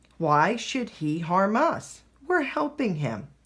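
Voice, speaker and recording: A growling, put-on character voice at a middle pitch, with very wide pitch swings. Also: fairly slow pace. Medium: read story.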